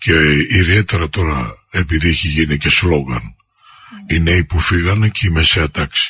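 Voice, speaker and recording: This man has a very deep, low-pitched voice. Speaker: radio host. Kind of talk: radio talk show conversation.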